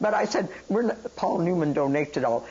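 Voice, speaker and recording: A woman speaks fairly quickly with lively intonation as noticeable background noise runs underneath. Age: 80s+. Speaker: entrepreneur, salad dressing maker. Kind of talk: interview answer. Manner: energetic.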